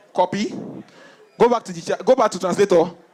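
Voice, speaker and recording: A man speaks at a moderate pace with ordinary pitch variation, and noticeable background noise can be heard. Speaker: stand-up comedian. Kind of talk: stand-up comedy set to a live audience. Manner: energetic, jokey, conversational.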